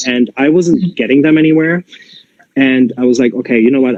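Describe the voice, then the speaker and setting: With a German accent, a man speaks at a fairly quick pace, at medium pitch with ordinary pitch variation. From Germany, Gelsenkirchen. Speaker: Pilates teacher trainer. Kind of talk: interview conversation.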